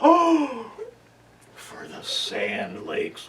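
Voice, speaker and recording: A put-on character voice from a man, pitched extremely high. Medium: stage play. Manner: sly, wheedling.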